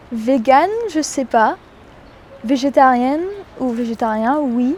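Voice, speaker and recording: A very slow pace with ordinary pitch variation. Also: woman, high pitch for a woman. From New Zealand. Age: young. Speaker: student. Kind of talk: interview answer.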